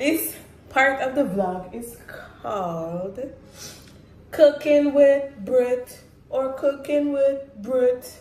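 A woman with a high, slightly mellow voice speaks at a very slow pace with ordinary pitch variation. Audible room echo surrounds her.

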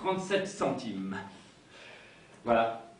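A man's pitch leaps up and down dramatically while the room's echo rings out audibly. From Indre, France. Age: 40s. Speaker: solo storyteller performer. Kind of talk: autobiographical stage monologue. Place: stage. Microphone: camera far.

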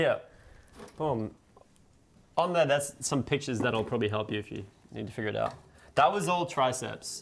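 A man talks in a playful tone with vocal fry and lively intonation, leaving long, frequent pauses. Light background noise sits underneath. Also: moderate pace. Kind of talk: casual live-streamed product testing chat. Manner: joking, playful. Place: kitchen.

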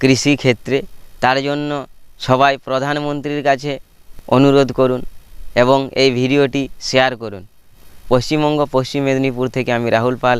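Medium male pitch in a monotone, flat intonation. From West Bengal, India (Paschim Medinipur). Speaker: community correspondent and small farmer. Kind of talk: video news report.

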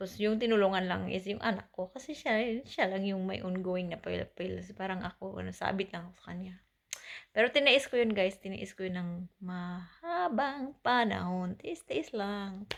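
A woman speaks in a normal speaking voice at medium pitch, with ordinary pitch variation and a moderate pace. Her loudness swings widely over a very clean recording with a silent background. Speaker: vlogger. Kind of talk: casual personal story to camera.

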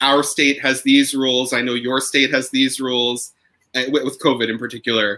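A man's medium-pitched voice with an American accent and a bright, sharp tone. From New York. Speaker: opera singer. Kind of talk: casual chat. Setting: video call.

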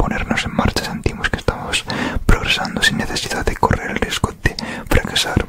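Whispering from a man, moderate in pace. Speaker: ASMR creator. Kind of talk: audiobook-style reading of a self-help book. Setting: close microphone recording. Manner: whispered, soft-spoken, relaxing. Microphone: studio mic.

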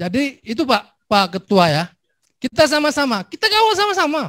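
A man's voice at an extremely high pitch comes through dry, with no echo, against a quiet background. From Aceh. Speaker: legislator chairing a hearing. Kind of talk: formal hearing, casual Indonesian. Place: hall. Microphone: handheld.

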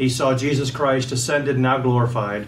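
The intonation is monotone and flat, with light background noise behind it. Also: man. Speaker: pastor. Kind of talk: sermon. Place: home room. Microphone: camera far.

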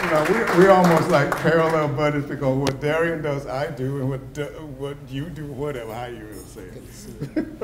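Over noticeable background noise, a man with an American accent speaks at a moderate pace with a fairly high pitch, fairly even intonation, big swings in loudness and hardly any pauses. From US South. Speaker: retired psychology professor, honoree; retired psychology professor. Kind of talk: acceptance speech. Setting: banquet hall with audience. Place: hall. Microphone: podium.

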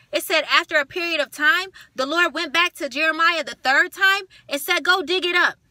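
An extremely high, bright and sharp woman's voice, raised and projected, animated in tone and fairly quick in pace, dry with no echo over a quiet background. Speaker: video channel host preaching a rebuke. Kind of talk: fiery preaching-style rebuke and exhortation with scripture retelling. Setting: home video recording to camera. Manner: animated, indignant, emphatic, rhetorical questions and repetition; direct, scolding, addressing target as 'you'. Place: car. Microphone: phone near.

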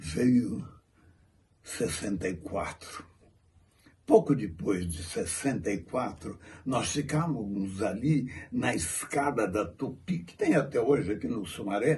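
This man speaks at a very slow pace with a somewhat breathy voice. His pitch swings very widely. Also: big swings in loudness. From Brazil. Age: 80s+. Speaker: actor. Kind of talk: heartfelt tribute monologue. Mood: moved, solemn. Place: home room. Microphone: phone near.

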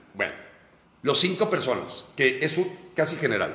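The man's animated tone and lively intonation carry audible room echo. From Mexico. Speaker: political activist. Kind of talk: monologue commentary. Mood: indignant, critical. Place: home room. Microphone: phone near.

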